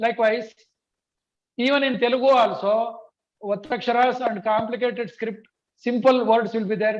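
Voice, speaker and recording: A man's high-pitched voice with a Kannada accent and fairly even intonation. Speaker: language teacher. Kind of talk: online training session. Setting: video call.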